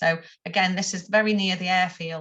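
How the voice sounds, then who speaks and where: Her tone is bright and sharp, set at a fairly low pitch for a woman. She speaks at a moderate pace in a monotone, flat intonation. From northern England, Stoke-on-Trent. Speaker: textile artist and teacher. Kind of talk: presentation talk with slides. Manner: hesitant, many ums.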